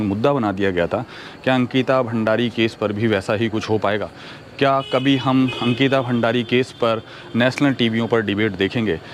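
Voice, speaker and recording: Over noticeable background noise, a man talks with very even loudness and fairly even intonation. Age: 40s. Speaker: social commentary video host. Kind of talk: opinion monologue to camera. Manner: earnest, with hesitations.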